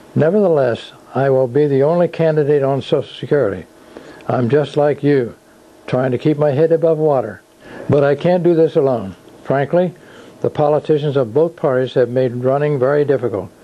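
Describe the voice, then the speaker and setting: Over noticeable background noise, a man speaks fairly quickly at a fairly high pitch, his loudness very even. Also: ordinary pitch variation. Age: 80s+. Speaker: independent presidential candidate. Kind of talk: campaign announcement speech. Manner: formal.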